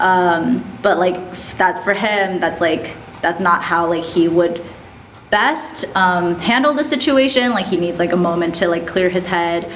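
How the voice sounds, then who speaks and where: A woman with a fairly low voice speaks with lively intonation. Noticeable background noise and audible room echo surround her. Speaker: podcast guest sharing dating experience. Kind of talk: casual chat. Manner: fast, filler-heavy.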